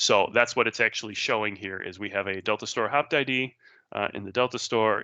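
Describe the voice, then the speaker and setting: The tone is bright and sharp, and the pace is very fast. The background is quiet. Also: man. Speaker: database technology speaker. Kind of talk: technical presentation with live demo. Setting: virtual meetup online talk.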